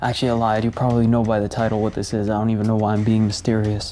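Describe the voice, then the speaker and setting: A man talks quietly at a medium pitch. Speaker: YouTuber, sneaker channel host. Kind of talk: unboxing video. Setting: at home while others sleep.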